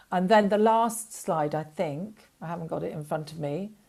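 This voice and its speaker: On a very clean recording with a silent background, a woman with an English accent speaks at a moderate pace with ordinary pitch variation. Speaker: documentary fund representative. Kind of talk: panel interview. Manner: hesitant, many fillers.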